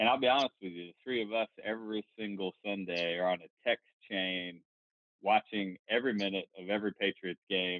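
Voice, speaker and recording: With a Southern US accent, the voice keeps to a moderate pace. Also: man, fairly low pitch for a man, fairly even intonation. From North Carolina. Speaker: podcast co-host. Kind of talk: casual chat.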